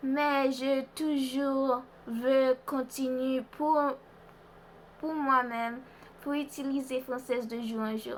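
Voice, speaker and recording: A woman's high, monotone voice with flat intonation, at a very slow pace with long, frequent pauses. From Haiti and US (Boston). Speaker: vlogger. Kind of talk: language practice monologue. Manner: halting, hesitant.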